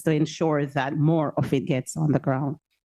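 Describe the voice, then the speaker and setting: Over a quiet background, a woman with a Jamaican accent speaks in a very deep, low pitch with a dark, mellow tone. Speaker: audience member asking a question. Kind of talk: audience question.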